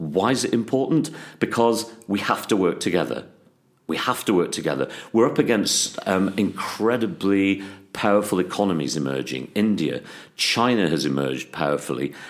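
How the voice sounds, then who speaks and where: A man with vocal fry, very wide pitch swings, and a moderate pace, on a very clean recording with a silent background. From England, Worcester. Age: 60s. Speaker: parliamentary candidate. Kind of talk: interview. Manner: hesitant, many fillers.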